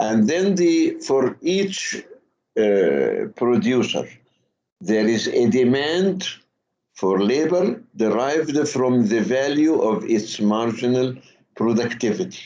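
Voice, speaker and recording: In a room with audible echo, a man with a dark, mellow tone talks at a very slow pace, his pitch swinging very widely while his loudness stays very even. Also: medium pitch for a man. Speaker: university lecturer. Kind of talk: lecture. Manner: slow, deliberate; halting, many fillers and repetitions.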